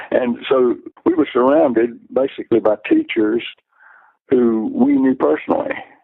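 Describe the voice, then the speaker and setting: A man at a moderate pace, with very even loudness. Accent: Alabama. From US South, Alabama (Luverne, south of Montgomery). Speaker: retired math and science professional. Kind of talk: interview. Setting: phone call. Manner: halting, with fillers and repetitions.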